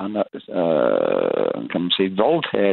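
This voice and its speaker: The speech is in an English accent. It moves at a very slow pace. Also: man. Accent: English-accented Danish. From northern England, Blackpool. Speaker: caller. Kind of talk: casual chat. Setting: phone call.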